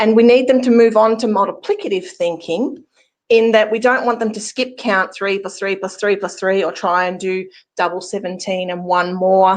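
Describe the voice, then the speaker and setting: Speaking with an Australian accent, a woman keeps a medium pitch, ordinary pitch variation and a moderate pace. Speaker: math teacher presenter. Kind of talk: webinar presentation.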